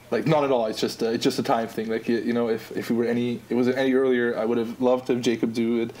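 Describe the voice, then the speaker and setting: A man at a very fast pace with hardly any pauses, medium pitch, monotone, flat intonation, noticeable background noise. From Austria. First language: German. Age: 20s. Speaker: app designer. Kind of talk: casual podcast interview.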